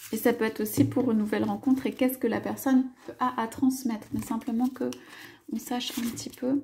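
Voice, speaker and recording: A soft-spoken woman with a high pitch, monotone, flat intonation and a fairly quick pace. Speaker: tarot card reader. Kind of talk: tarot reading. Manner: halting, many hesitations.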